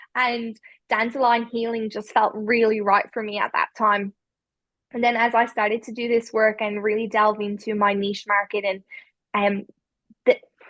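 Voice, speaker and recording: A woman speaks in a flat monotone at a fairly high pitch and a moderate pace. Her speech has long, frequent pauses against a quiet background. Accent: Irish. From Ireland. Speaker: spiritual healer. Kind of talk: podcast interview. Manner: hesitant, many fillers.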